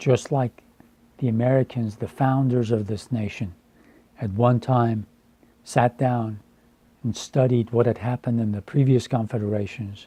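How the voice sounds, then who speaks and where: A man speaks with a dark, mellow tone that is somewhat breathy. His intonation is fairly even, and he leaves long, frequent pauses. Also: medium pitch for a man, moderate pace. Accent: Iranian. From Iran. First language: Farsi. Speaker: translator and educator. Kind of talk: personal monologue. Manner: halting.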